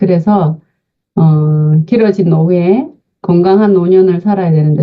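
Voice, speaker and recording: A woman's somewhat breathy voice. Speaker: invited lecturer on senior health. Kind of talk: online lecture.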